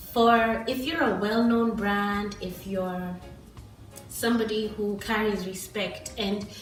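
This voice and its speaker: With music in the background, a woman speaks at a very slow pace in a fairly high pitch with fairly even intonation. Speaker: book vlogger. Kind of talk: casual book review to camera.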